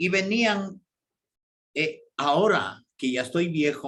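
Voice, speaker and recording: With lively intonation, a man speaks at a very slow pace in a high pitch. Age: 70s. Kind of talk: radio catechesis talk.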